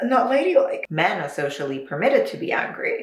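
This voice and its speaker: A woman talks at a fairly quick pace. Audible room echo and noticeable background noise surround her voice. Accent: North American. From Luxembourg. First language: Luxembourgish. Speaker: video essayist. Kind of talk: video essay. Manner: casual, animated.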